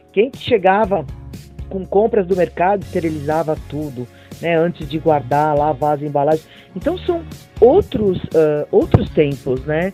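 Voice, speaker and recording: Music plays behind a woman whose very deep, low voice moves with lively intonation at a fairly slow pace. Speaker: radio presenter. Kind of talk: podcast interview host.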